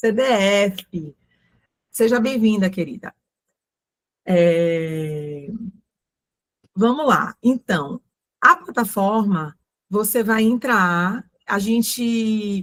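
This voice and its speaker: Here a woman speaks with a medium pitch. Her pitch varies in an ordinary way. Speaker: ESG consultant and course instructor. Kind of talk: online mini-course presentation.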